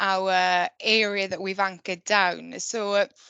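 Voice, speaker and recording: A woman's bright, sharp voice in a Welsh Valleys accent, at a fairly slow pace against a quiet background. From Wales, the valleys. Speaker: conservation project manager. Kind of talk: online talk presentation.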